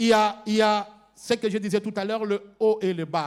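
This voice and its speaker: Spoken at a fairly slow pace, this voice carries a Congolese accent. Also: man. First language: Lingala (speaking French). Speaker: pastor. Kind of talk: sermon. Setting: church. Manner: halting, repeats words.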